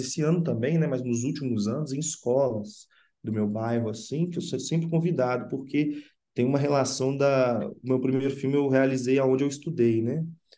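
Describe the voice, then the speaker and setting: This man's tone is dark and mellow, his pitch medium. He keeps a moderate pace and fairly even intonation. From Sabará, Minas Gerais, Brazil. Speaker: film director. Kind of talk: interview.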